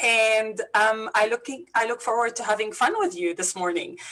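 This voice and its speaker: Over noticeable background noise, a woman with a Lebanese accent speaks in a high voice with lively intonation. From Lebanon. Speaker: business coach. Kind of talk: interview.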